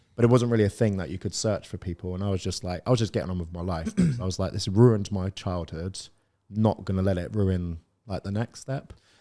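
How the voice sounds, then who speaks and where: In a very clean recording with a silent background, a man with a West Country accent speaks very fast in a very deep, low voice with a dark, mellow tone and fairly even intonation. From South West England, Plymouth. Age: 30s. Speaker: property business owner. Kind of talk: podcast interview. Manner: casual, halting.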